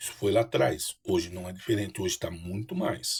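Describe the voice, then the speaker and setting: Somewhat breathy voice at a fairly quick pace, with ordinary pitch variation. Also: man. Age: 60s. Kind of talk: personal testimony to camera. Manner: halting, with repetitions and fillers.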